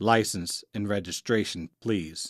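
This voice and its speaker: Here a man does a put-on character voice. It sits fairly low and moves at a fairly slow pace. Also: dry, close sound with no echo. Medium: read story. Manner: short, barking.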